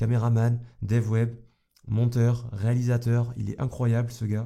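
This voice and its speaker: A man's voice at medium pitch. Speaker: YouTube coach. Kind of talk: vlog monologue. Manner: casual, hesitant.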